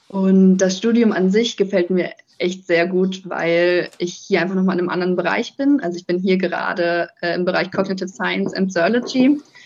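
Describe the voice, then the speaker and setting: At a moderate pace, a woman with an unremarkable speaking voice talks in a medium pitch and fairly even intonation. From northern Germany, near Kiel. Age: 20s. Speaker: master's student. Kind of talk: interview. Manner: many filler sounds (ähm, äh).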